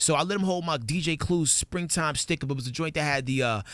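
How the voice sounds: This man talks fast in a fairly high pitch. The tone comes across fairly bright. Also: ordinary pitch variation.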